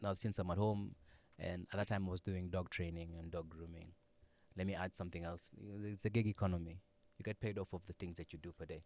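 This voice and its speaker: A man speaks at a very fast pace. His voice is very deep and low, with monotone, flat intonation. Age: 20s. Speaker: chef and restaurant owner. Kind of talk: casual chat.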